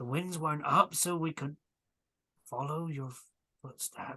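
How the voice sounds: A man puts on a character voice with a fairly high pitch and a bright, sharp tone edged with slight huskiness. He talks fairly slowly with ordinary pitch variation.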